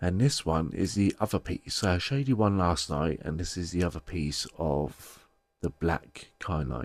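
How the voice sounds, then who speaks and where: With a British accent and a very deep, low pitch, a man speaks with lively intonation in a dry, close sound with no echo. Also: moderate pace. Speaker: crystal and tarot seller, video creator. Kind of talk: casual show-and-tell vlog. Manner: heavy breathing, pausing.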